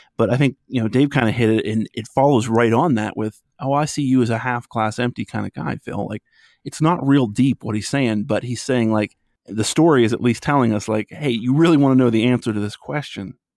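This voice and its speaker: The recording is very clean with a silent background and a dry, close sound with no echo. A man with a normal speaking voice talks at medium pitch and a fairly quick pace with ordinary pitch variation. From western Pennsylvania. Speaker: psychology podcaster. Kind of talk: casual chat.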